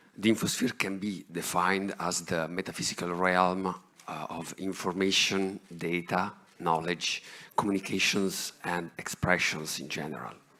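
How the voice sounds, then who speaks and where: Over noticeable background noise, a man with a very deep, low pitch speaks in a monotone, flat way at a moderate pace. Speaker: researcher. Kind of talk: conference talk.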